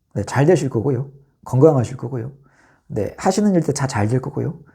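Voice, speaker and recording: A man's dark, mellow voice with vocal fry, very wide pitch swings and a fairly quick pace, in a very clean recording with a silent background. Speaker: vlogger. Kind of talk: casual monologue. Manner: fast.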